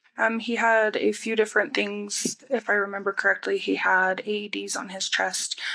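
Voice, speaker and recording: Over noticeable background noise, a woman talks with hardly any pauses. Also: moderate pace. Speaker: crime scene investigator, witness. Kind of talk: court testimony. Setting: courtroom witness stand. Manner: brief, terse answers. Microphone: far from the mic.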